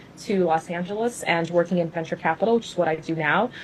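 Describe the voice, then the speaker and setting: This woman has an unremarkable speaking voice, a medium pitch and ordinary pitch variation, and she talks at a fairly quick pace. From US South (Louisville, Kentucky), born in Cuba. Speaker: venture capitalist and finance creator. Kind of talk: interview on live stream. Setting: Instagram live video.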